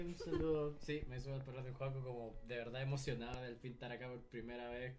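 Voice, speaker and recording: Noticeable background noise and audible room echo surround a man speaking at medium pitch and a fairly quick pace. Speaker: podcast panelist. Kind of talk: live podcast panel chat. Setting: radio studio. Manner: animated.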